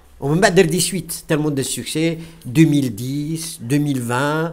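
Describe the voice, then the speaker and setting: This man's fairly high voice moves with lively intonation. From western Algeria. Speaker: retired English teacher, film club founder; guest. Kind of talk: discussion talk. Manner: halting, many hesitations.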